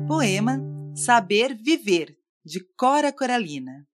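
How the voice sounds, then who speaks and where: A woman speaks at a very slow pace in a gentle, warm tone. The background is quiet. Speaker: magazine editor reading a poem. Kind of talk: poetry reading, calm and heartfelt, with a short sign-off. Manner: slow, soft, measured and warm; gentle, sincere, with pauses between phrases.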